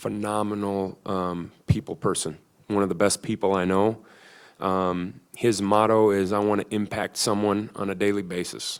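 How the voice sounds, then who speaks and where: On a very clean recording with a silent background, a man with a slight Midwestern accent speaks at a moderate pace in a fairly low, monotone, flat voice. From US Midwest. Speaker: football coach. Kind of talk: press conference. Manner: halting, many fillers.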